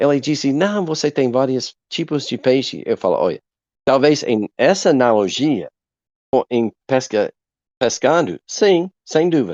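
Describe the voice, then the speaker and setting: Lively intonation from a man with a fairly high pitch, a fairly slow pace and an American accent. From USA. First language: English (speaking Portuguese). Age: 50s. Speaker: evangelist. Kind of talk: podcast interview. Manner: halting.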